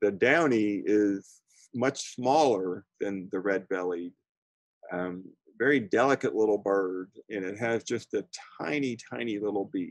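A man with an American accent, fairly low-pitched, at a fairly slow pace with ordinary pitch variation, in a dry, echo-free recording against a quiet background. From Florida. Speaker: birding instructor. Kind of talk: lecture. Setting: video call. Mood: warm, chatty. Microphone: video call.

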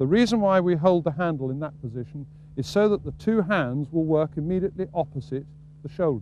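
The man's tone is dark and mellow, his intonation lively at a fairly quick pace. The sound is dry with no echo, over light background noise. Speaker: fishing casting instructor. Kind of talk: tutorial. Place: waterside.

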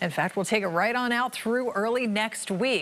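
Moderate pacing from a woman. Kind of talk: weather forecast presentation. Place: studio. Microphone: lapel.

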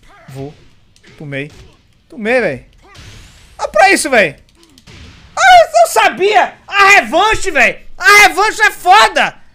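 Over light background noise, a man with an extremely high pitch uses a raised, projected voice, speaking at a very slow pace with long, frequent pauses, very wide pitch swings and big swings in loudness. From Brazil. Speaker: gamer. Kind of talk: angry rant while gaming. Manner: loud, exasperated; animated, cursing, sarcastic. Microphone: headset.

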